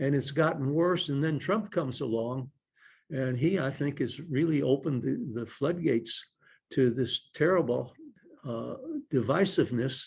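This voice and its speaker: A somewhat breathy voice at a fairly slow pace, with ordinary rises and falls in pitch. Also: man. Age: 80s+. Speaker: retired state supreme court justice and lawyer. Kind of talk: talk answering audience questions.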